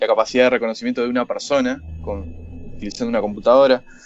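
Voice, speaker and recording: A man in a Uruguayan accent speaks with fairly even intonation. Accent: Rioplatense Spanish (Uruguayan). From Uruguay, Montevideo. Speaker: startup founder, machine learning entrepreneur. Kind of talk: interview.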